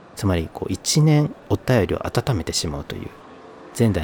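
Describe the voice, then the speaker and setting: Noticeable background noise runs under a man who talks at a fairly quick pace. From northern Kyoto Prefecture coast, Japan. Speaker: podcast host. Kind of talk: casual solo podcast talk.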